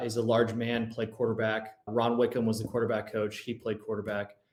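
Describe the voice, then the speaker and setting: A man speaks at a moderate pace in an American accent. His pitch is medium for a man. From Southern California. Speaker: former college quarterback. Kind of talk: podcast interview. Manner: animated storytelling.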